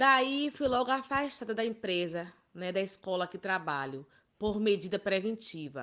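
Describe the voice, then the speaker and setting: A woman speaks with very wide pitch swings and a bright, sharp tone against a quiet background. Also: medium pitch for a woman, fairly slow pace. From Ilhéus, Bahia, Brazil. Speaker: preschool teacher and children's party entertainer. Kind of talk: interview.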